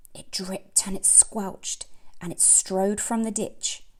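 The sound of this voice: A woman speaking slowly, her tone slightly mellow and her intonation fairly even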